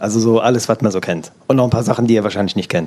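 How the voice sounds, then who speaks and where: A man with a normal speaking voice talks at medium pitch with ordinary pitch variation. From Germany, Eifel near Luxembourg border. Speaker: organic farmer. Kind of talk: interview before live audience.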